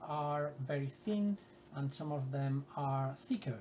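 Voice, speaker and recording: The pitch varies in an ordinary way, with noticeable background noise present throughout. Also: man. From Spain. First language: Spanish. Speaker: art workshop leader. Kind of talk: tutorial. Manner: hesitant, many fillers.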